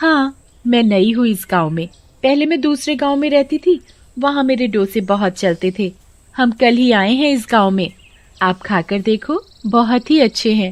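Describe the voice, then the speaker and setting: A cartoonish character voice comes through at a fairly high pitch. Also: moderate pace. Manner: shifts between sweet disguise and menace.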